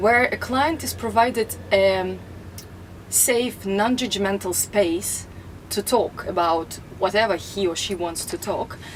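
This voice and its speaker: A woman with a Russian accent and ordinary pitch variation. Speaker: life coach. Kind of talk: self-introduction to camera.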